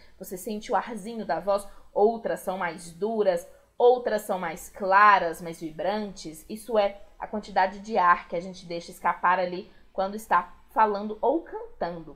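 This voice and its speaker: Her loudness swings widely as a woman speaks at a fairly slow pace with fairly even intonation. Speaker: school teacher. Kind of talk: video lesson.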